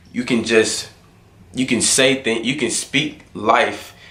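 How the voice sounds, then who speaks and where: A man speaks at a moderate pace and medium pitch. Audible room echo and noticeable background noise fill the recording. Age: 20s. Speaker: motivational vlogger. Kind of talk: motivational monologue. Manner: casual.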